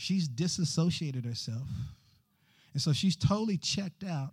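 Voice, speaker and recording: Recorded very cleanly against a silent background, a man with an American accent speaks at a moderate pace. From Texas, Fort Worth. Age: 50s. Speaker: guest preacher. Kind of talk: sermon. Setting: church.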